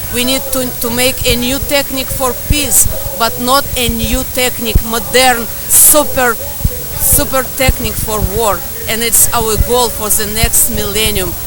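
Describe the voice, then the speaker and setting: With a Russian accent and a high pitch, a woman talks at a fairly slow pace with fairly even intonation, with audible room echo and noticeable background noise. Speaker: protester. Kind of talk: street interview. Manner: halting.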